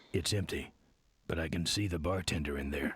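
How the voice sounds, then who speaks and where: A raspy, put-on character voice. The pace is fairly quick and the intonation fairly even. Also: man, very deep, low pitch for a man. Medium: video game. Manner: terse, gruff, deadpan.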